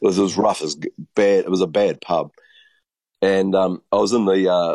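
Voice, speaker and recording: In a New Zealand accent, a man speaks with fairly even intonation, the sound dry and close with no echo. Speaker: panelist. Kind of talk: casual chat. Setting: video call.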